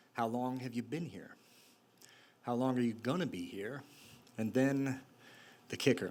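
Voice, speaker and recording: This man speaks at a medium pitch. His pace is moderate. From Utah. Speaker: storyteller, former prisoner. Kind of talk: live storytelling performance. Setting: live stage, audience.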